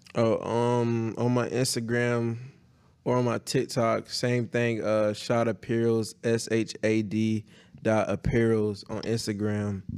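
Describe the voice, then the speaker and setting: A man speaks very slowly at a medium pitch, his intonation flat and monotone. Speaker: clothing brand founder. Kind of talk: casual interview.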